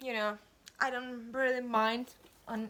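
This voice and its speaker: A woman talks at a moderate pace in a high pitch, with noticeable background noise around her. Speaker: YouTuber, college student. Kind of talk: haul video. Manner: halting, self-correcting.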